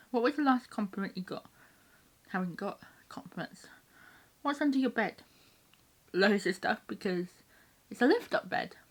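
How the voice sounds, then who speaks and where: A woman with a British accent speaks at a moderate pace in a fairly high, somewhat breathy voice. Her pauses are long and frequent. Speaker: YouTuber. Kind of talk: casual chat.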